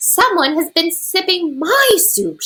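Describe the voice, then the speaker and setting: In a put-on character voice, a female-sounding speaker growls at an extremely high pitch and a fairly slow pace. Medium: read story.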